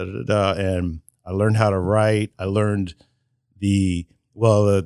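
A man's fairly low an unremarkable speaking voice with an American accent, at a moderate pace and with ordinary pitch variation, in a very clean, dry, close recording with no echo and a silent background. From Indiana (Marion). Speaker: photographer. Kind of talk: interview.

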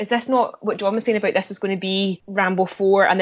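A woman uses a normal speaking voice of medium pitch, talking at a fairly quick pace with fairly even intonation. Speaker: podcast co-host. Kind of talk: casual chat.

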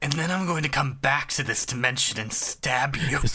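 A man's put-on character voice at a fairly high pitch and moderate pace. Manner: threatening.

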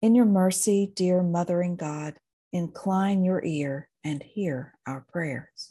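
Speaking very slowly, a woman uses a fairly low pitch with ordinary pitch variation, her tone dark and mellow as well as intense and solemn. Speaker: podcast host and minister. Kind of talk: fervent pastoral prayer, spoken as a lament and litany. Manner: intense, solemn, pleading, with emotional fervor; slow, rhythmic and cadenced, like a litany.

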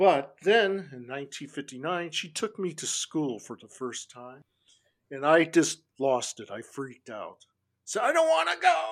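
In a Californian accent, the speaker goes at a fairly slow pace with lively intonation on a very clean recording with a silent background. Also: man, fairly high pitch for a man, big swings in loudness. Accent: California American English. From Los Angeles, US West Coast. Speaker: punk musician and music critic. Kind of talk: casual interview chat.

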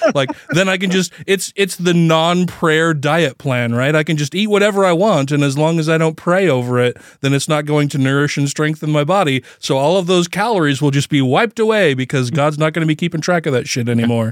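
With a normal speaking voice, a man speaks at a fairly quick pace in a fairly high pitch, with ordinary pitch variation and very even loudness, on a very clean recording with a silent background. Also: hardly any pauses. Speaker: podcast host.

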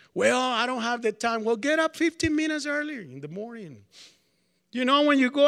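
Speaking with a Spanish accent, a man uses an extremely high pitch, a bright, sharp tone and ordinary pitch variation at a moderate pace, on a very clean recording with a silent background. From Colombia. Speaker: preacher. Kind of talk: sermon. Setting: college chapel with audience. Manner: casual, hesitant with fillers.

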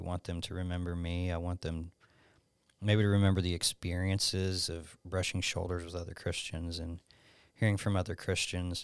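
A man with a very deep, low pitch speaks at a fairly quick pace in a Southern US accent with monotone, flat intonation. The recording is very clean, with a silent background. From Alabama, US South. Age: 30s. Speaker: youth pastor. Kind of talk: casual chat.

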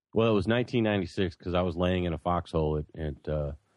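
A man with an American accent speaks at a very deep, low pitch. The sound is dry and close with no echo, and the background is quiet. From US Midwest. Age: 40s. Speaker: shamanic practitioner. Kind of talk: casual chat. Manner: halting.

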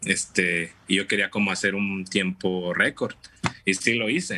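The man's voice sits fairly low in pitch, and his delivery is fairly slow. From Mexico, Tampico, Tamaulipas. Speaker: amateur runner. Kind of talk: casual interview. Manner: halting.

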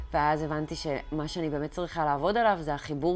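This woman speaks with a very deep, low pitch. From Israel, early childhood in London. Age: 30s. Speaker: meditation and chakra coach. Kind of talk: personal vlog monologue.

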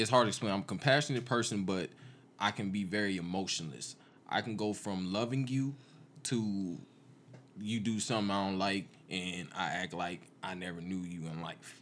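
Here is a normal speaking voice at a moderate pace. The recording is very clean, with a silent background. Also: man, fairly low pitch for a man, ordinary pitch variation. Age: young. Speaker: podcast co-host, barber and recording artist. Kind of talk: casual chat.

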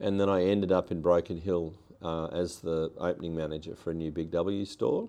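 A man talks in a dark, mellow tone with fairly even intonation. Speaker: politician. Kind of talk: interview.

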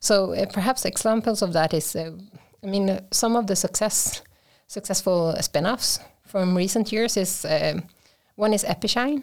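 With a Swedish accent, a woman speaks at medium pitch and a moderate pace, with ordinary pitch variation and very even loudness. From Sweden, Småland (Vimmerby). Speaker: university innovation advisor. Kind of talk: interview.

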